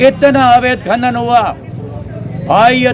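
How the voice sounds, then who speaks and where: A man's voice over crowd noise in the background. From Rajasthan, Jodhpur district. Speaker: villager with a complaint. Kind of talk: interview. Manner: animated.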